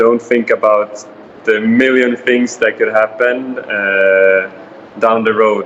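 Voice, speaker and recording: A medium-pitched man's voice with fairly even intonation over noticeable background noise. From Sweden. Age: 20s. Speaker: interviewee. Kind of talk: interview. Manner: hesitant fillers.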